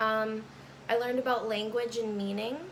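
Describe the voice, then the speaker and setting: A woman speaks with monotone, flat intonation. There is audible room echo. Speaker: college student. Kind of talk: class speech recorded on camera. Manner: halting, with fillers.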